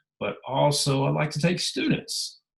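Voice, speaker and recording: A man talks with a Southern US accent. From US South, Memphis area (Tennessee/Mississippi). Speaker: travel writer and teacher. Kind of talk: presentation to writers group. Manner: casual, conversational with fillers.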